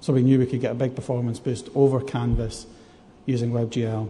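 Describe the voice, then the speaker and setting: In a Scottish accent, a man talks at a medium pitch, somewhat breathy, with monotone, flat intonation. Audible room echo surrounds his voice. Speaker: game programmer. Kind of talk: conference talk. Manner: hesitant, many fillers.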